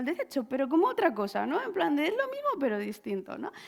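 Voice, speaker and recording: On a very clean recording with a silent background, a woman speaks at high pitch. Her pace is fairly quick. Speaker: lawyer specialised in intellectual property. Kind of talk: conference talk. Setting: stage with audience. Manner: fast.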